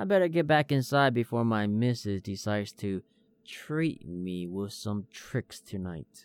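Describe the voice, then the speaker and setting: A man with an American accent talks fairly slowly in an unremarkable speaking voice, pitched fairly low with lively intonation. The sound is dry and close, with no echo. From Hmong American. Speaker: storytelling podcaster. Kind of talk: scripted narration. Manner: theatrical persona.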